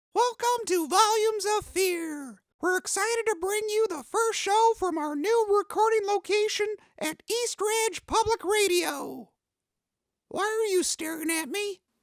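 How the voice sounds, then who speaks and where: A put-on character voice at an extremely high pitch and moderate pace. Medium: audio drama. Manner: irritable, defensive.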